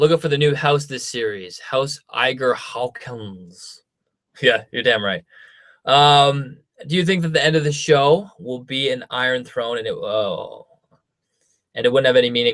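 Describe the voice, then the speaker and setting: In a Canadian accent, a man has a plain, everyday voice, fairly high in pitch with ordinary variation, speaking at a fairly slow pace. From Canada. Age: 20s. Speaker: YouTuber. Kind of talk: live stream Q&A. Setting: home studio live stream. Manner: casual, filler-heavy.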